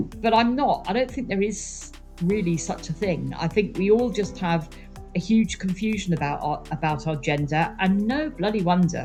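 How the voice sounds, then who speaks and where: Lively intonation over music in the background. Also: woman, medium pitch for a woman, moderate pace. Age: 60s. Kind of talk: interview answer.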